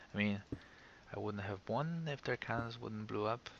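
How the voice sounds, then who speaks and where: A man's fairly low pitch paired with lively intonation. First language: not English. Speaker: gaming video creator. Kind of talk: casual gameplay commentary. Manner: halting, many fillers.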